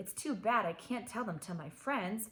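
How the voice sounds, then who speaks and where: Using a put-on character voice, a woman speaks at a moderate pace with a fairly high, rumbling pitch and lively intonation. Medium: read story. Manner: grumbling.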